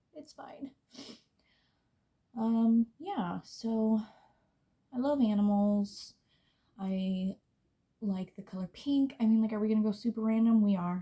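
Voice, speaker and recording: This voice has a dark, mellow tone, is somewhat breathy, and moves at a fairly slow pace with long, frequent pauses. Intonation is fairly even, while loudness swings widely. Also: woman. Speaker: beauty vlogger. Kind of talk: casual chat.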